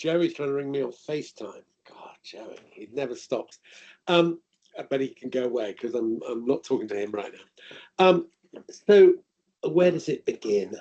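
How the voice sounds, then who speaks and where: The speaker uses an English accent at a moderate pace with long, frequent pauses. Loudness swings in big ways. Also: man. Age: 60s. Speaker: author and parent advocate. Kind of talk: webinar talk. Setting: video call.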